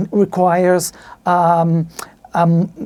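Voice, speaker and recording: A woman speaks in a Spanish accent. Her voice has a dark, mellow tone. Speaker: podcaster reviewing audio gear. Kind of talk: tutorial. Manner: halting.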